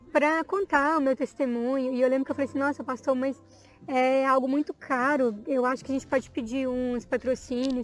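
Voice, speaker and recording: At a moderate pace, a woman with a high voice speaks with fairly even intonation. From Minas Gerais, Brazil. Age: 20s. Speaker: evangelical church member, dancer, teacher. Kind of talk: testimony.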